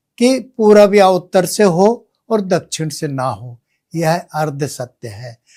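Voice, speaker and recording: A man with lively intonation. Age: 80s+. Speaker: vastu expert. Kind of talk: explanatory talk with live demonstration.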